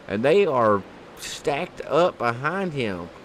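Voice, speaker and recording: A man with a slight Southern accent amid noticeable background noise. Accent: slight southern twang. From Kentucky. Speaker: sim racing commentator. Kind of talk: live commentary. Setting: broadcast booth. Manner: animated.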